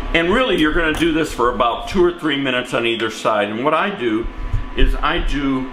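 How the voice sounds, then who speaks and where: A man talks at a fairly quick pace while noticeable background noise plays. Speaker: home cook host. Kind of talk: cooking tutorial. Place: kitchen. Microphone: camera far.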